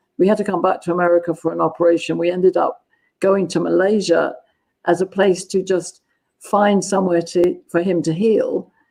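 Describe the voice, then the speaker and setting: A woman speaks at a moderate pace with a southern English accent, her dark, mellow tone held at a very even loudness and a monotone, flat intonation. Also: medium pitch for a woman. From southern England, London. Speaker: gender dynamics consultant. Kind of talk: interview.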